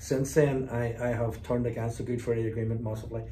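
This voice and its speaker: A man's medium-pitched voice with a Belfast accent, fairly quick and fairly even in intonation, with audible room echo. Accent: Belfast Northern Irish. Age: 60s. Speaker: former loyalist paramilitary and community negotiator. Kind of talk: interview.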